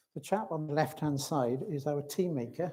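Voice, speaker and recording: A man with a Welsh accent, a fairly high pitch, a dark, mellow tone and ordinary pitch variation. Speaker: hallmarking expert. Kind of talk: conference presentation. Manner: hesitant, many fillers.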